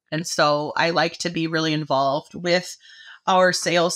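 A woman with an American accent speaks in an unremarkable speaking voice at a fairly low pitch with fairly even intonation, on a very clean recording with a silent background. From Michigan, US. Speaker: agricultural marketing manager. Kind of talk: casual interview.

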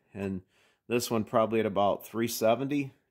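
With fairly even intonation, a man talks fairly slowly as music plays in the background. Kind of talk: casual explanatory vlog chat. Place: workshop. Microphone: phone near.

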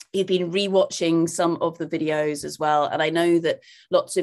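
Over a quiet background, a woman with an unremarkable speaking voice talks at a fairly low pitch with fairly even intonation. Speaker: conference host. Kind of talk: event hosting remarks. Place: home room. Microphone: video call.

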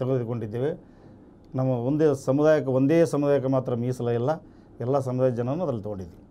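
A man's dark, mellow tone with fairly even intonation. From North Karnataka, Koppal district; Karnataka. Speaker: cooperative bank director and community leader; interview guest. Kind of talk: interview. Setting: studio. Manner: halting. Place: studio. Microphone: lapel.

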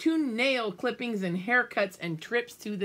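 A natural reading voice carries the clip.

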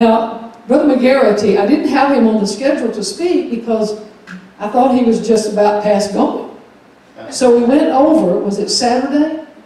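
In strong room echo, a woman speaks at a moderate pace. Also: ordinary pitch variation. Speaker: pastor. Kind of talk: church announcements. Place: church.

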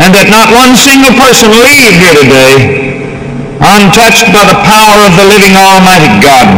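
A man's speech comes with loud background noise. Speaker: preacher. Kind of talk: sermon prayer. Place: hall.

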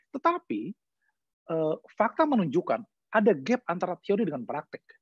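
A man's voice against a quiet background, dry with no echo. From Indonesia. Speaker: law professor; speaker. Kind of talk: online lecture. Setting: video call. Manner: halting with many fillers. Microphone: video call.

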